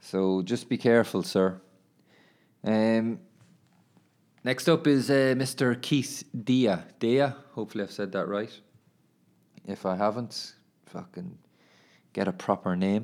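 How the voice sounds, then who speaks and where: A man speaks at a medium pitch with an Irish accent. Long, frequent pauses break up his speech, and the recording is very clean with a silent background. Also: ordinary pitch variation, fairly slow pace. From Ireland. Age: 20s. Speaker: footballer and podcaster. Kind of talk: casual monologue. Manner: casual, laughing.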